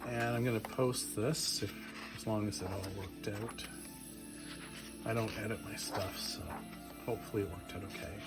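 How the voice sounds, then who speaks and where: A man's fairly low voice in a calm, relaxed tone, ordinary pitch variation, long and frequent pauses, music in the background. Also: moderate pace. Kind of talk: casual talk to camera, book flip-through. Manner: mellow, calm, relaxed; soft-spoken.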